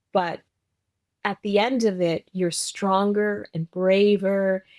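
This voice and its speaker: A woman at a medium pitch talks at a very slow pace, and the sound is dry and close with no echo. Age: 70s. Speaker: author and guest. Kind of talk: interview conversation.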